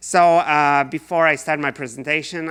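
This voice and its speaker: Fairly even intonation in a Polish accent at a moderate pace. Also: man. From Poland. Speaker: researcher. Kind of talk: lecture.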